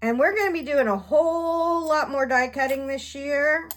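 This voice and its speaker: This woman's voice sits high in pitch. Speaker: craft video creator. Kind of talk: craft tutorial. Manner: casual, chatty.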